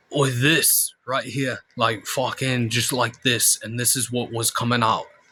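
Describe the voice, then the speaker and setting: A raspy, put-on character voice from a man, medium in pitch, at a fairly slow pace. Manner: improvised.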